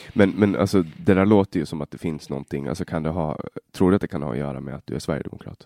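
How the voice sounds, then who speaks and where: Very deep and low in pitch, a man with a dark, mellow tone and vocal fry talks at a very fast pace with big swings in loudness, in a dry, close sound with no echo. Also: ordinary pitch variation. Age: 20s. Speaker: podcast host. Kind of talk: interview. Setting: guest's office at city hall. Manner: halting.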